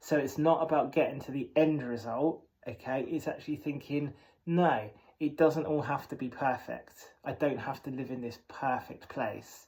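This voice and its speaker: In an English accent, a man speaks with a fairly high pitch. His pace is moderate and his intonation fairly even. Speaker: vlogger. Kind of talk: personal monologue. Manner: hesitant.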